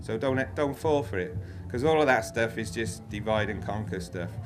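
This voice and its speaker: Room echo is audible as a man speaks. He has a Welsh accent and a fairly quick pace. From Wales. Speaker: freeman activist speaker. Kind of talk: talk with slides. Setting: festival stage with audience. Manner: informal, many fillers and repetitions.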